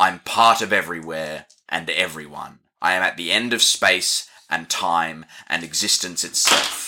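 A man speaks in a booming, put-on character voice with a very deep, low pitch. His pace is moderate. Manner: ominous, grand.

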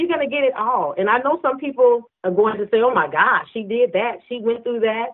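A woman is speaking. Her pitch swings very widely. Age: 50s. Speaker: minister and author. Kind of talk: interview.

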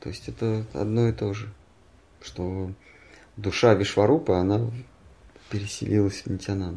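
At a moderate pace broken by long, frequent pauses, a man speaks in a fairly low pitch with a dark, mellow tone that is somewhat breathy. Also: ordinary pitch variation. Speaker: spiritual teacher reading and commenting scripture. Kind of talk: scripture reading with discussion. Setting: at home with a small group.

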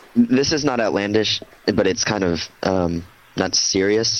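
A man's fairly low voice with ordinary pitch variation over noticeable background noise. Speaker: podcast co-host.

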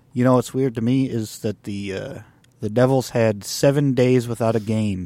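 At a moderate tempo, the dark, mellow tone rises and falls in an ordinary way. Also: man. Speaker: sports podcast co-host. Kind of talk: casual sports banter.

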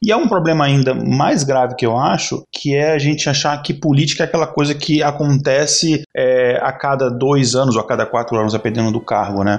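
A man with a fairly high pitch talks fairly quickly in a normal speaking voice, barely pausing. His loudness stays very even and his pitch varies in an ordinary way. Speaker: podcast co-host. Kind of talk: casual chat.

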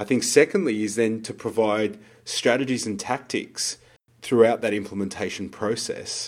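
His pitch sits in the middle range, and he has an unremarkable speaking voice. The man's pace is moderate, and his pitch moves in a normal way. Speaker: podcast co-host and business coach. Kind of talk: casual conversational podcast chat.

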